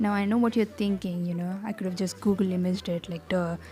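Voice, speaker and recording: A woman mumbles at a medium pitch. Her intonation stays fairly even. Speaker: digital artist. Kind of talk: tutorial voiceover. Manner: mumbling; casual, conversational.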